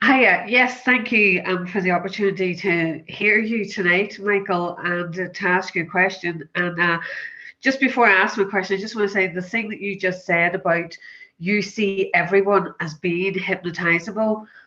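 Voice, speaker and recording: A woman with a Northern Irish accent, medium pitch, a bright, sharp tone, fairly even intonation and a moderate pace. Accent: Northern Irish, lyrical. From Northern Ireland. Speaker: audience member, hypnotherapist. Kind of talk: asking a question in Q&A.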